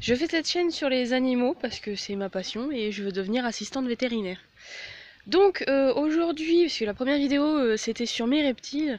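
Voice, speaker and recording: Her voice is high-pitched for a woman. The intonation rises and falls in a lively way. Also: moderate pace. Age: 20s. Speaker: animal-care vlogger. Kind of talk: informal tutorial. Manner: hesitant, many fillers.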